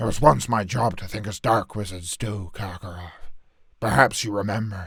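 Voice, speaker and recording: In a put-on character voice, a man sounds raspy at a fairly low pitch, moving at a moderate pace with big swings in loudness on a very clean recording with a silent background. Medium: solo performance. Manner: gruff, blunt.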